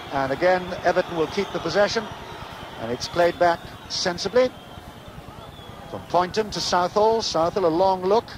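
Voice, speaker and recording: With noticeable background noise, a man with a high pitch speaks at a moderate pace, leaving long, frequent pauses. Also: ordinary pitch variation. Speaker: radio football commentator. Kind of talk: live radio sports commentary.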